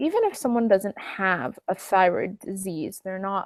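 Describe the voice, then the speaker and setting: A woman speaks at a medium pitch in a dry, close sound with no echo. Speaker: wellness coach hosting online Q&A. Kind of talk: live online Q&A session. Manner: slow while typing.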